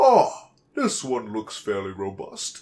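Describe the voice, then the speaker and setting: A fairly slow, put-on character voice. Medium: read story. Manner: brisk, self-satisfied.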